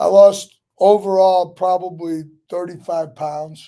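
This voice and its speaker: At a very slow pace, a man speaks in a high voice with a dark, mellow tone and monotone, flat intonation. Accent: St. Louis. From St. Louis, Missouri, Italian neighborhood. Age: 60s. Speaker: restaurant owner. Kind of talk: casual interview chat.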